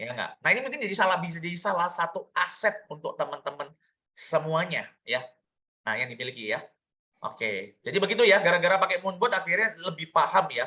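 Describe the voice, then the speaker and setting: A man's raised, projected voice, high-pitched, bright and sharp, animated with lively intonation at a fairly quick pace. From Indonesia, Surabaya (East Java). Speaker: business opportunity presenter. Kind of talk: online sales presentation.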